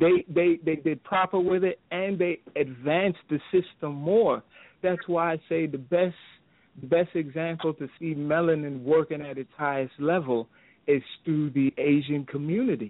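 He has a normal speaking voice, fairly high in pitch for a man, with ordinary pitch variation at a moderate pace. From Brooklyn, New York. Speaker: caller. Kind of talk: call-in talk radio. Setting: phone call.

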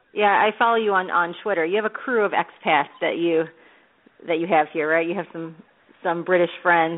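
A woman's fairly low voice at a moderate pace with fairly even intonation, an unremarkable speaking voice. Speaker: podcast host. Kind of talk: celebrity interview, casual chat.

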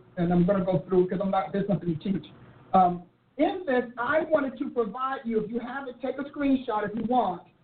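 Over noticeable background noise, a woman talks at a fairly quick pace. Her fairly high voice has lively intonation. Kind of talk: teaching session. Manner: forceful, percussive; not soft or melodic.

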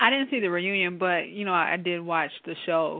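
An unremarkable speaking voice at a moderate pace. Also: woman. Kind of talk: live talk radio discussion.

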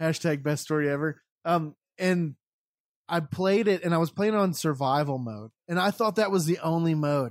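A man with a normal speaking voice and fairly high pitch talks at a moderate pace with ordinary pitch variation, in a dry, close sound with no echo. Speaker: podcast network owner. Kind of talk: casual chat.

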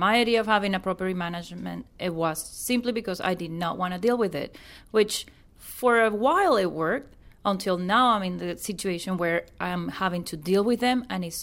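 A woman speaks at a moderate pace with lively intonation and a Venezuelan accent, in a very clean recording with a silent background. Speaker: real estate investor. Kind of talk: casual chat.

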